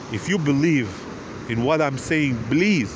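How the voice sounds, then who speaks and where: Very slow speech from a man with a non-native accent and fairly high pitch. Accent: foreign. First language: not English. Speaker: video blogger. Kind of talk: personal appeal to viewers. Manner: emotional, pleading.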